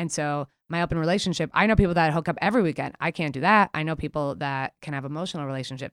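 In an American accent, a woman talks very fast with hardly any pauses, using a very deep, low pitch with ordinary variation, on a very clean recording with a silent background and a dry, close sound with no echo. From New York City, Queens. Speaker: comedian. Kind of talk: casual chat.

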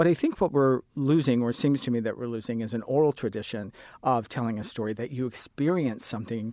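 In a very clean recording with a silent background, a man with a medium pitch and a dark, mellow tone talks at a fairly quick pace with ordinary pitch variation. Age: 40s. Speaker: sign language interpreter. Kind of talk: panel discussion.

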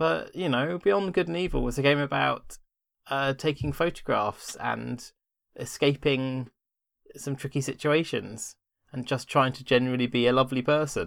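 A man with an unremarkable speaking voice, medium pitch, a moderate pace and ordinary pitch variation. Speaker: former site writer turned guest. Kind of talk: casual chat.

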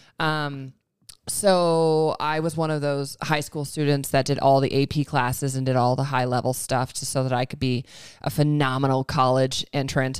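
On a very clean recording with a silent background, a woman in an American accent talks at a moderate pace with a very deep, low pitch and monotone, flat intonation. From Montana. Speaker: mortgage lender and coach. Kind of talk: casual chat. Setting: in her living room.

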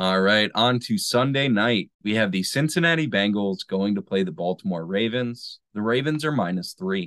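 A man with an unremarkable speaking voice, fairly low in pitch, lively in intonation, at a moderate pace. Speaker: sports betting podcast host. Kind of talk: casual chat.

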